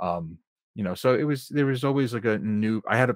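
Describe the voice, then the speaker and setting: A man at a moderate pace with ordinary pitch variation, a plain, everyday voice, on a very clean recording with a silent background and a dry, close sound with no echo. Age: 30s. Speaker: filmmaker and sound editor. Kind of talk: casual chat.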